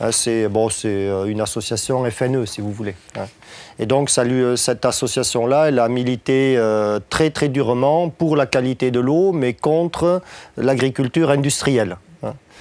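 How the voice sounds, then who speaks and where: Speaking with a slight southwestern French accent, a man uses a medium pitch, a fairly slow pace and ordinary pitch variation. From southwest France. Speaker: agricultural trainer. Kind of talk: lecture. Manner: hesitant, many filler sounds.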